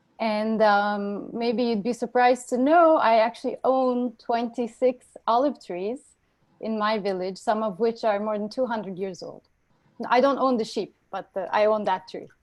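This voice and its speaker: A woman's fairly high voice in a Turkish accent. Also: ordinary pitch variation, moderate pace. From western Turkey (Urla). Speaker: oceanographer and engineer. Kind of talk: interview.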